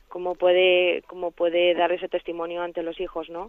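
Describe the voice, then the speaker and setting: This woman speaks at a moderate pace with a fairly low pitch. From Spain, Valencia. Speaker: radio caller. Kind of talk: phone-in question.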